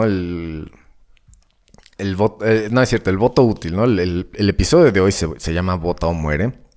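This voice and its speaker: A man with a Mexican accent speaks at a fairly slow pace in a very deep, low voice. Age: 30s. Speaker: podcast host and rock guitarist. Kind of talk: casual solo monologue. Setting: home studio. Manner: hesitant, many fillers.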